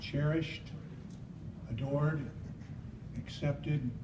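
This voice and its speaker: Speaking at a very slow pace, a man talks with a fairly high pitch. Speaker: poet. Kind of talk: poetry reading.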